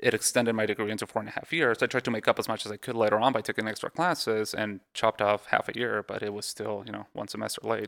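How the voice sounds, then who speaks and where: A man with a slight Mexican accent talks very fast with hardly any pauses, his fairly low voice carrying vocal fry and fairly even intonation in a dry, close sound with no echo. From Mexico. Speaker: radiologist. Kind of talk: casual interview. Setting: in person at a home.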